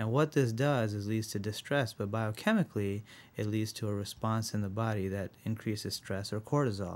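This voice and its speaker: This man has an ordinary speaking voice, fairly low in pitch, delivered at a moderate pace with fairly even intonation. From Rochester, New York (born in India, moved at seven). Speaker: physician, integrative medicine director. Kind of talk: interview.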